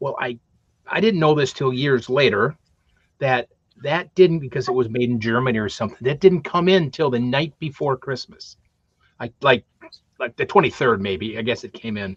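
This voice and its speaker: The man's voice is somewhat breathy, with lively intonation. The sound is dry and close, with no echo. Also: medium pitch for a man, moderate pace. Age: 60s. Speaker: talk show co-host. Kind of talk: casual chat.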